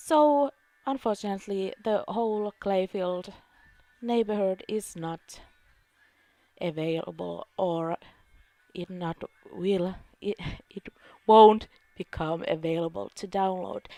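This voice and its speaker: Over music in the background, a woman speaks at a very slow pace with long, frequent pauses and ordinary pitch variation, in a dry, close sound without echo. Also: medium pitch for a woman, big swings in loudness. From Finland. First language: Finnish. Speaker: gaming YouTuber. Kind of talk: vlog Q&A. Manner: halting, many fillers.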